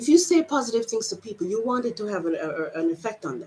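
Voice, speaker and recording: Over noticeable background noise, a woman with a fairly high pitch talks at a very fast pace, her pitch swinging very widely. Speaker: emotional coach. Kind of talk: casual talk to camera.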